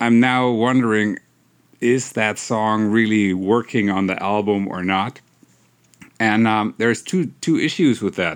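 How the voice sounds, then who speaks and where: A man's medium-pitched voice with a German accent and fairly even intonation. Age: 40s. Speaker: electronic musician. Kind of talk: casual solo monologue. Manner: halting.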